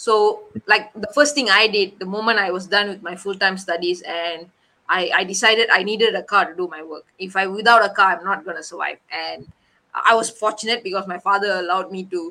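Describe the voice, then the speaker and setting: Her tone bright and sharp, a woman speaks at a fairly quick pace with fairly even intonation and big swings in loudness. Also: medium pitch for a woman. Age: 20s. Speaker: finance coach and accountant. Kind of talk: interview.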